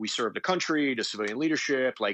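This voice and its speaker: A man with an American accent talks at a very fast pace. His voice has vocal fry and very wide pitch swings. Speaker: army combat veteran. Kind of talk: interview conversation. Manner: repetitive stammering starts.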